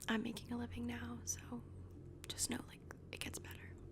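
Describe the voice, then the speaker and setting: A woman whispers in a gentle tone over noticeable background noise. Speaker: ASMR creator. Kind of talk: ASMR roleplay, casual one-on-one talk. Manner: soft-spoken, gentle, friendly.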